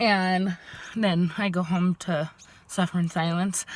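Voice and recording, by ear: A woman speaks at a slow pace with fairly even intonation. Her pitch is fairly low.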